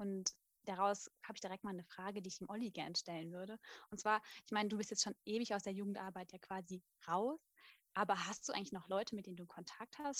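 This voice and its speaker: A medium-pitched woman at a very fast pace, in a dry, close sound with no echo. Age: 20s. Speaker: midwife and former youth worker. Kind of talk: casual group chat.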